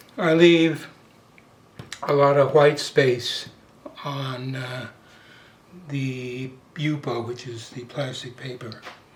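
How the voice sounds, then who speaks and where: In a room with audible echo, a man at a fairly high pitch talks at a very slow pace with long, frequent pauses, big swings in loudness and ordinary pitch variation. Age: 80s+. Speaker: painter. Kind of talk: tutorial. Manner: halting, many fillers; casual.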